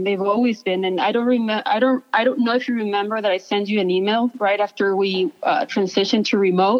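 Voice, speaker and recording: Noticeable background noise sits behind a woman's fairly high voice. She talks at a fairly quick pace with ordinary pitch variation. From Mexico, Ciudad Juarez. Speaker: author and teacher. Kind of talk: interview.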